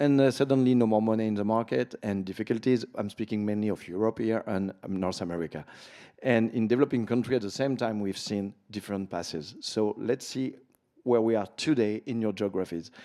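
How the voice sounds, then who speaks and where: A dark, mellow voice with a French accent at a fairly quick pace, over a quiet background. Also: man, fairly low pitch for a man, ordinary pitch variation. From France. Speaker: panel moderator, event founder. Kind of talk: panel discussion. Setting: conference stage with audience.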